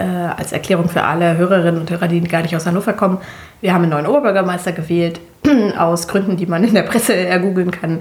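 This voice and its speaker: A woman speaks in a plain, everyday voice, fairly low-pitched, with ordinary pitch variation. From Germany. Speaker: podcast co-host. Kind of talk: casual chat.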